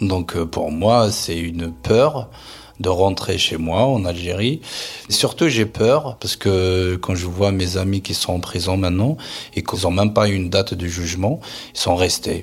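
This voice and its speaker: Speaking fairly slowly, a man has a very deep, low pitch. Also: ordinary pitch variation. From Algeria, Kabylie. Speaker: interviewee sharing family history. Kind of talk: personal testimony. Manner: hesitant, with fillers and repetitions.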